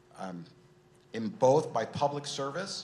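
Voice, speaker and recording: A man speaking at a moderate pace over noticeable background noise. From Irvine, California. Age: 60s. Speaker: mayoral candidate. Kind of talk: candidate forum opening statement.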